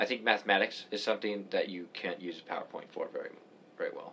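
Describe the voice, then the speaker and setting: With a Canadian accent, a man talks at a fairly quick pace. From Canada. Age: 20s. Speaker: physics student podcaster. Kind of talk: casual chat.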